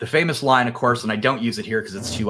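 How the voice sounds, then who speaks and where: A man talks at a very fast pace with a bright, sharp tone. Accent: American. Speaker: cybersecurity company executive. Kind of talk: business presentation. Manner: casual, with many fillers.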